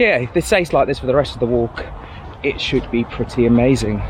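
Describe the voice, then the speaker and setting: A man speaks at a medium pitch with noticeable background noise. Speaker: hiking vlogger. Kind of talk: vlog narration while walking. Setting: outdoors in the rain. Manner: halting, stuttering.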